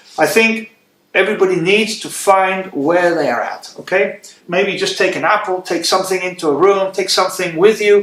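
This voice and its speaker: This is a man's voice. His pitch sits high. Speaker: English teacher. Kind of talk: tutorial. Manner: fast; animated.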